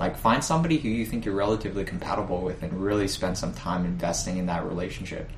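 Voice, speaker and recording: A man with a fairly low pitch, amid audible room echo. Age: 20s. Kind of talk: casual chat.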